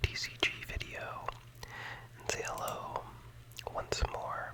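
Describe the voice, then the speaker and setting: A whispered voice comes through noticeable background noise. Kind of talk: ASMR gameplay commentary.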